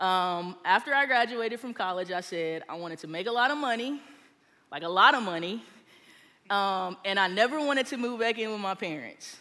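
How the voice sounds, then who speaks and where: Recorded very cleanly against a silent background, a woman with an American accent speaks at a fairly quick pace in a medium pitch, her bright, sharp tone carrying lively intonation and big swings in loudness. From Texas. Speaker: small group leader. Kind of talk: sermon. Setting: stage with audience.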